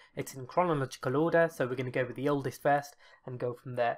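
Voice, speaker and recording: The speaker talks with a British accent at a very fast pace. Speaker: gaming YouTuber. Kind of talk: casual reaction commentary.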